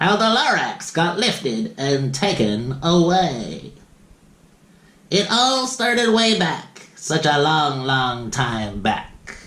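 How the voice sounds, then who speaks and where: A man's put-on character voice, nasal and fairly high, at a very slow pace, with very wide pitch swings yet very even loudness. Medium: read story. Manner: whispery.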